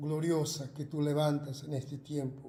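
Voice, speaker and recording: In a room with audible echo, a man with a fairly high pitch and a dark, mellow, somewhat breathy tone speaks at a fairly slow pace. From Argentina. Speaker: pastor. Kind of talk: prayer. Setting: video broadcast. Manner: halting.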